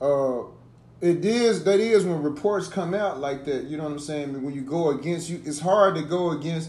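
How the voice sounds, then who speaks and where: A man's fairly high voice at a moderate pace, with ordinary pitch variation and audible room echo. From US South. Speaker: podcast co-host. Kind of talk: casual chat.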